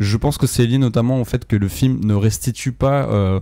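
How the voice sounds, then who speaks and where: The tone is dark and mellow. Pace is moderate, with ordinary pitch variation. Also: man. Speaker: film critic podcast co-host. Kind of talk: casual film review discussion. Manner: hesitant, many fillers.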